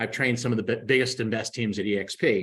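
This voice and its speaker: A man talks in an unremarkable speaking voice. His pitch is medium and his intonation fairly even. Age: 60s. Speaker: real estate team recruiter and trainer. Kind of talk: live Q&A sales pitch. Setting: live video stream.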